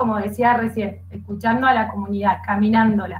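There is light background noise. Over it, a woman speaks neither fast nor slow. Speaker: program coordinator, psychopedagogue. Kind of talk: live online panel discussion. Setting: video call. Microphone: video call.

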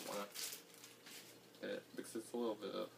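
Noticeable background noise behind a man talking. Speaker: vlogger. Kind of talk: casual vlog chat. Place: home room. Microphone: camera far.

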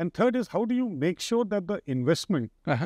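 Over a quiet background, a man with a dark, mellow tone speaks at a fairly quick pace with very wide pitch swings, the sound dry with no echo. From India. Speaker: energy sector executive; guest. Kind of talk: interview. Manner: halting. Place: studio. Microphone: lapel.

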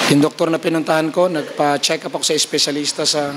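A man speaks fairly quickly at a fairly high pitch. Noticeable background noise runs underneath. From Philippines. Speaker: preacher. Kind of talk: revival sermon. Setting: church conference with audience. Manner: animated, exhortative preaching; mixes humor with urgent calls to faith, Taglish. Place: church. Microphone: handheld.

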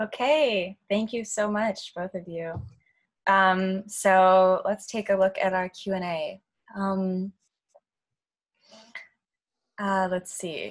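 Speaking slowly with long, frequent pauses, a woman keeps a medium pitch and fairly even intonation.

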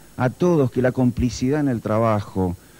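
Delivering his words at a moderate pace, a man has a dark, mellow tone and ordinary pitch variation. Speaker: guest. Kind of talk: interview answer. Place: hall. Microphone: handheld.

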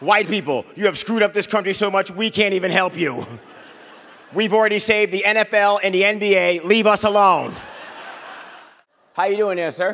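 Loud and high-pitched, a man talks fairly quickly in an energetic, playful tone against a quiet background. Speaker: stand-up comedian and radio host. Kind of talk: stand-up comedy set to a live audience. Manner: loud, energetic, playful, crowd-work banter. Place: stage. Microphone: handheld.

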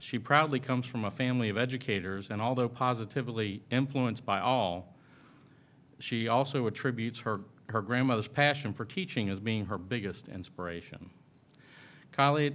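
In a very clean recording with a silent background, a man has an ordinary speaking voice, with medium pitch, ordinary pitch variation and a moderate pace. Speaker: school board chairman. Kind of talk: chairing a public meeting. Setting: public meeting hall.

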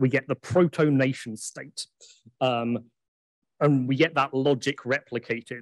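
A man with an English accent talks at a fairly slow pace, his intonation fairly even. Long, frequent pauses fill the dry, echo-free recording against a quiet background. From England. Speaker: academic conference speaker. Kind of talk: lecture. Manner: frequent filler ums. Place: hall.

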